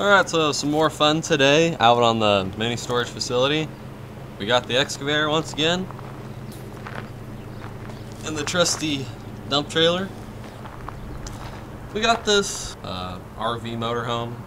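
A man at a moderate pace with long, frequent pauses, against noticeable background noise. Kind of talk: casual vlog chat. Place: open country. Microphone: phone near.

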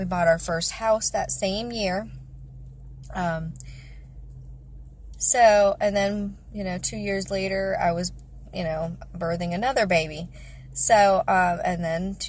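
A woman speaks at a very slow pace with long, frequent pauses, fairly even intonation and a somewhat breathy voice. The sound is dry, with no echo. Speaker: vlogger. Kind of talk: casual vlog chat. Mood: reflective, personal. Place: car. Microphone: phone near.

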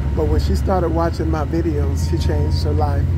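A man speaks in a dry sound with no echo. Loud background noise fills the clip. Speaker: vlogger. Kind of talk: casual vlog chat. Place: bus. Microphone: phone near.

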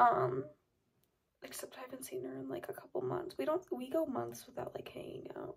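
Against a quiet background, a woman talks at a moderate pace, her loudness swinging widely. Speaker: vlogger. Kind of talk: casual chat. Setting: at home. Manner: animated. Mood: playful, joking. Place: home room. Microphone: phone near.

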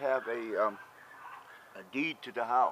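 A man at a moderate pace with ordinary pitch variation and noticeable background noise. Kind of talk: casual vlog chat. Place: street. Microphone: phone near.

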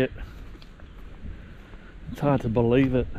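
A man's fairly even delivery, dry with no echo, against noticeable background noise. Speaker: travel vlogger. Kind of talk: casual vlog chat. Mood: amazed, relaxed. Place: waterside. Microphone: phone near.

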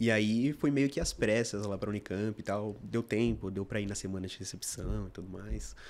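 A man at a moderate pace with hardly any pauses, fairly low in pitch, with ordinary pitch variation. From Brazil, São Paulo (north zone). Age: 20s. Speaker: medical student; guest. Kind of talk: interview. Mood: relaxed, friendly. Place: studio. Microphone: studio mic.

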